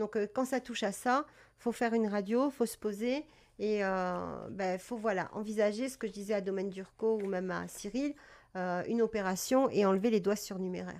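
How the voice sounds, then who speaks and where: On a very clean recording with a silent background, a woman of medium pitch speaks at a moderate pace in a calm tone with fairly even intonation. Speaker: cat breeder and live-stream presenter. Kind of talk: live stream talk about cat health. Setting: live stream. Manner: hesitant, many fillers.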